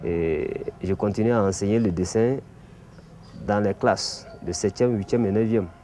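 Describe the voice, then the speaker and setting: The speaker's intonation stays fairly even over noticeable background noise. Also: man. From Mali. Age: 50s. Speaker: art teacher and bogolan artist. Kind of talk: explanatory talk.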